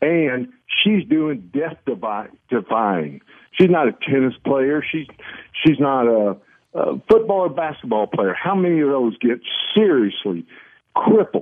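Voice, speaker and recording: A man's fairly high voice at a fairly slow pace, with very wide pitch swings. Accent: American. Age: 70s. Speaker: caller. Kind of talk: casual call-in chat. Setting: phone call.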